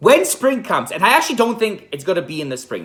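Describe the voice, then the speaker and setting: A man in an animated tone speaks with very wide pitch swings. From Poland. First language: Polish. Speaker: event rental business owner, vlogger. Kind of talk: casual vlog monologue. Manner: animated, self-correcting.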